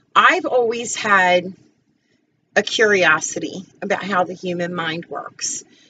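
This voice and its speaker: With an American accent, a woman speaks very slowly in a bright, sharp tone at medium pitch, with ordinary pitch variation and big swings in loudness. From New Jersey. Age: 40s. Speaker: school bus driver and student. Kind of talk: personal intro speech. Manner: casual, somewhat halting.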